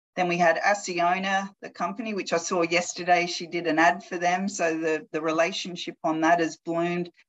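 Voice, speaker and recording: With an Australian accent, a woman speaks at a moderate pace with hardly any pauses. Her fairly low voice stays monotone and flat. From Australia, Newcastle NSW. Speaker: athlete wellbeing manager, former Olympic hockey player. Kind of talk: interview.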